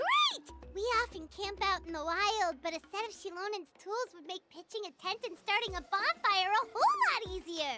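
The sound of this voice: A cartoonish character voice at an extremely high pitch moves at a moderate pace, with faint music in the background.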